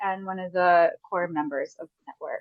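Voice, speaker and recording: This voice has an American accent and ordinary pitch variation. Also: woman. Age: 40s. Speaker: research project coordinator. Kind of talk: online event introduction. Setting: video call.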